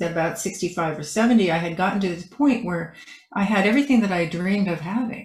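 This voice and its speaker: A woman speaks at a fairly low pitch with ordinary variation. Her voice is somewhat breathy. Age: 70s. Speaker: author and decorative artist. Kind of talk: interview.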